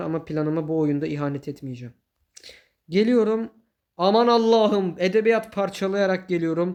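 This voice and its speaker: A man's high-pitched, animated voice at a moderate pace, with ordinary pitch variation and a quiet background. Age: 20s. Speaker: gaming YouTuber. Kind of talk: gameplay commentary. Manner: laughs often.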